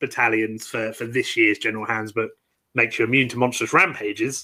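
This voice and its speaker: Here a man talks at a fairly quick pace with a bright, sharp tone. His pitch is medium and his intonation fairly even. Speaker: podcast host. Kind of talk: casual chat. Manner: halting.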